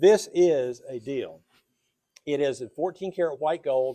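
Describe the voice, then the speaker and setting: A man's fairly high pitch and dark, mellow tone with an American accent, at a very slow pace. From Indiana. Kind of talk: live sales show.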